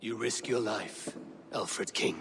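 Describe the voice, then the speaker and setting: A man puts on a raspy character voice. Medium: video game. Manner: blunt, sardonic.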